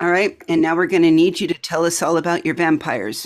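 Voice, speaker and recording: A woman speaks at a fairly low pitch with ordinary pitch variation. Hers is an unremarkable speaking voice. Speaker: podcast host. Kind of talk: casual chat.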